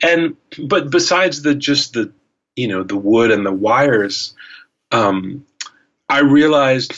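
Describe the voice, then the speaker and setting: A man of medium pitch speaks at a fairly slow pace, varying his pitch in an ordinary way. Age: 50s. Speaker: guitarist. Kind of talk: casual chat. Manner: halting.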